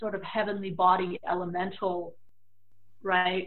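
A woman with an ordinary speaking voice talks at a medium pitch and a fairly slow pace. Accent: American. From US, San Francisco Bay Area. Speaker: tarot reader and spiritual practitioner. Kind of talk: interview. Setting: video call from home office.

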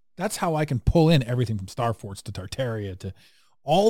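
Somewhat breathy and dark, mellow in tone, a man talks at a very fast pace with lively intonation. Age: 40s. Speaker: podcast host. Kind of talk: casual chat. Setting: video call. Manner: animated.

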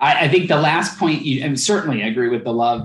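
Fairly quick and somewhat breathy, a man with an American accent talks at a fairly high pitch with lively intonation. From Philadelphia. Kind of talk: interview conversation.

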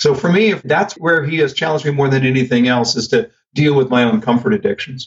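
Very fast and somewhat breathy, a man talks at a fairly high pitch with lively intonation. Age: 50s. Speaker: sales trainer. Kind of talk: casual chat.

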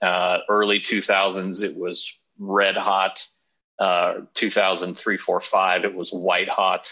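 A man speaking at a very slow pace with a Californian accent. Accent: Californian American. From Southern California. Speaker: motorsport team executive. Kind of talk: podcast interview. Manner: casual with many fillers.

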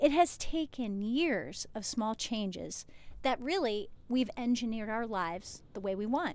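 With an American accent, a woman speaks in an unremarkable speaking voice. Her pace is fairly slow and her intonation lively. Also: fairly high pitch for a woman. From New Jersey. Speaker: chiropractor and podcast host. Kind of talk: solo podcast monologue. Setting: outdoors at the beach in a motorhome, waves audible.

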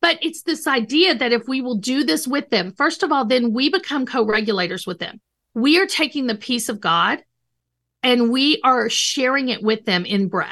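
A woman's high, bright, sharp voice, raised and projected, with lively intonation at a moderate pace over a quiet background. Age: 50s. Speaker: licensed counselor and author. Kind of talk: interview.

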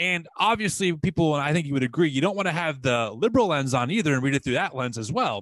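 With hardly any pauses, a fairly high-pitched man talks at a very fast pace and swings very widely in pitch, on a very clean recording with a silent background. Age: 30s. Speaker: podcast host. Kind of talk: interview.

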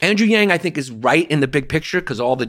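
The recording is very clean and the background silent. A man delivers his words very fast, his intonation lively. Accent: New York. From New York, Greek-American family. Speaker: comedian. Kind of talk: casual chat. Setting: in-person studio. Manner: loud; animated.

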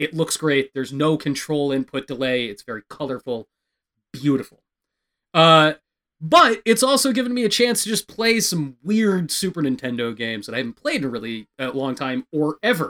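A man speaks at a moderate pace in a fairly high pitch, his tone bright and sharp. He sounds animated, with very wide pitch swings. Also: dry, close sound with no echo. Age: 30s. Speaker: podcast host. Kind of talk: casual chat.

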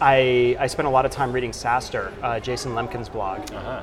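Over noticeable background noise, a man speaks fairly quickly at a medium pitch in a monotone with flat intonation. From Dominican Republic. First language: Spanish. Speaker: startup executive. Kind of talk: interview. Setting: conference.

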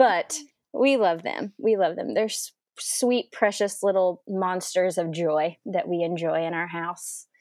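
A woman with an American accent talks at a fairly slow pace in a plain, everyday voice. Her pitch is medium and her intonation lively. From Oklahoma, Edmond. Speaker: interior designer and pastor's wife. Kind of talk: casual interview, personal testimony.

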